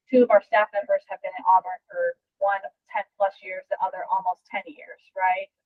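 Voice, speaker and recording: A woman speaks loud, with an energetic tone, lively intonation, medium pitch and a moderate pace. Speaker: strength and conditioning coach. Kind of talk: podcast interview. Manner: loud, energetic.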